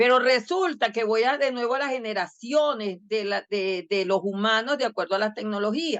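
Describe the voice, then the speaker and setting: Using an unremarkable speaking voice, a woman talks at a fairly high pitch and a moderate pace, with ordinary pitch variation. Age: 60s. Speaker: educational technology expert. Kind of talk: podcast interview. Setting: video podcast.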